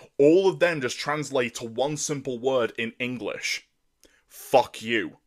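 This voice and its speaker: In a very clean recording with a silent background, a man speaks at a medium pitch with an animated tone. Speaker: vlogger. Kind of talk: rant. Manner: halting, many repeated words; animated, emphatic.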